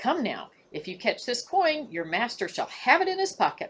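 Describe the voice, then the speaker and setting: A high-pitched, put-on character voice at a moderate pace. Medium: read story.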